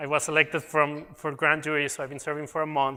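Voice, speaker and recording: A man speaks with a slight non-native accent. His pitch is fairly high and his pace fairly quick. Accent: slight foreign. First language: Spanish. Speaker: technical program manager presenting at a conference. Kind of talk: conference presentation.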